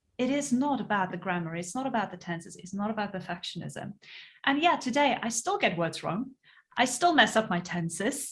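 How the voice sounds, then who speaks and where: A woman with a South African accent, somewhat breathy, at a fairly high pitch, with very wide pitch swings and a fairly quick pace, on a very clean recording with a silent background. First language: Afrikaans. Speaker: podcast host, entrepreneur. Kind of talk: casual interview chat.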